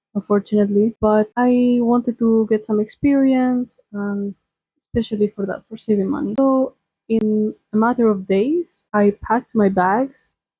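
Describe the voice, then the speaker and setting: Speaking with a Spanish accent, a woman uses a somewhat breathy voice at a fairly high pitch, a moderate pace and fairly even intonation. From Spain. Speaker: lifestyle vlogger. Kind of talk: personal vlog talk.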